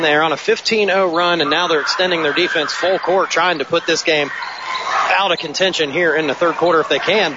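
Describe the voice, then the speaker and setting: Over noticeable background noise, a man speaks in a high voice with ordinary pitch variation and very even loudness. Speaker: play-by-play announcer. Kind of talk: live sports commentary. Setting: gym broadcast, courtside at the game.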